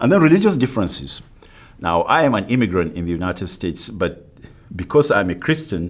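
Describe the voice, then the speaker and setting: A man with a non-native accent talks at a fairly quick pace, his pitch swinging very widely. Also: fairly low pitch for a man. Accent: non-native, foreign. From Africa. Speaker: university professor. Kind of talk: lecture.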